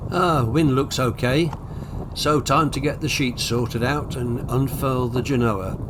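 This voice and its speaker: Room echo is audible and background noise is noticeable. A man with a medium pitch speaks at a fairly slow pace, his pitch varying in an ordinary way. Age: 80s+. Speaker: sailing vlogger. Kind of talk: casual narration. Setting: outdoors on a sailboat.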